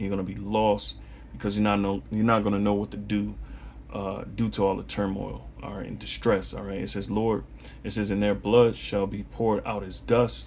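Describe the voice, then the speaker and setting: Fairly quick male speech carrying audible room echo. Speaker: religious teacher. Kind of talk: bible lesson monologue. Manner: fast; animated.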